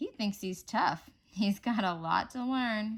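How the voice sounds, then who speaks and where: Doing a put-on character voice, a woman speaks at a fairly slow pace with a warm tone and a fairly high pitch. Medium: read story. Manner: warm, gently teasing.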